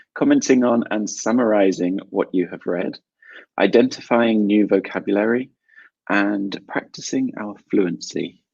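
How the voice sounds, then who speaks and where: At a fairly slow pace, a man talks with a fairly low pitch and fairly even intonation. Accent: British. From South London, England. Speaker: English teacher. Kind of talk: online English class webinar.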